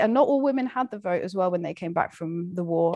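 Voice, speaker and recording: On a very clean recording with a silent background, a woman with an ordinary speaking voice talks in a fairly low pitch with ordinary pitch variation. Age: 20s. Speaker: literature graduate. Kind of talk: casual chat.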